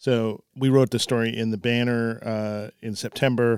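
A man speaks at a medium pitch with fairly even intonation, in an ordinary speaking voice. The recording is very clean with a silent background, and the sound is dry and close with no echo. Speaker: newspaper editor. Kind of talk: casual chat. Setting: studio.

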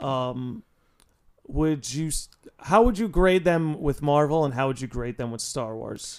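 A man with an American accent has an unremarkable speaking voice. He speaks at a fairly slow pace with lively intonation. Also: fairly high pitch for a man. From New York. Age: 20s. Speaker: podcast host. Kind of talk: casual chat.

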